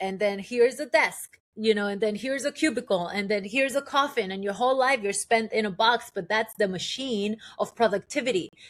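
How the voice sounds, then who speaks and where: A woman speaks with an animated tone in a Spanish accent. The recording is very clean, with a silent background. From Colombia, moved to New York at eight. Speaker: transformational guide. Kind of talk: podcast interview. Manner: animated, with many fillers and restarts.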